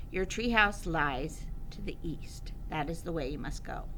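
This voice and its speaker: Using a put-on character voice, a woman speaks at a fairly low pitch and a moderate pace over clear background noise. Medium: read story. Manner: grave, terse.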